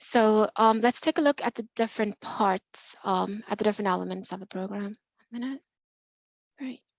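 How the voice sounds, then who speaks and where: A woman's fairly high voice shows ordinary pitch variation and big swings in loudness. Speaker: nonprofit program manager. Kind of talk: presentation at online meeting. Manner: fast.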